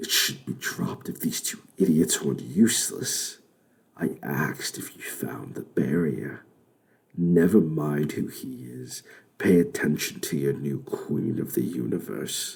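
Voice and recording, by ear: In a put-on character voice, a man rumbles at a very deep, low pitch. His pace is fairly slow.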